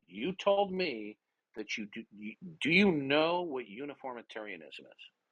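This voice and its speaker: At a moderate pace, a man's voice moves through very wide pitch swings and big swings in loudness. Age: 60s. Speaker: online debater. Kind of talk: heated debate. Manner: forceful, interrupting.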